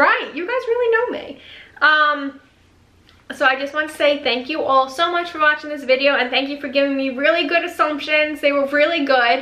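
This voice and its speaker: Raised and projected, a woman's high-pitched voice with a bright, sharp tone and an American accent moves at a moderate pace with ordinary pitch variation. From New York. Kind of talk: casual vlog, reading viewer comments. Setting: home video recording with ring light.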